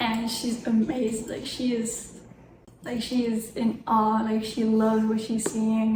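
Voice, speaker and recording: A woman with a non-native accent and a fairly high pitch speaks amid audible room echo and noticeable background noise. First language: not English. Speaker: booktuber. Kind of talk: reading vlog. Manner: animated.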